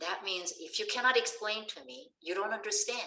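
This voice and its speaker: A woman talks with a Korean accent. Her pace is moderate. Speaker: science education professor. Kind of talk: lecture. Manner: halting.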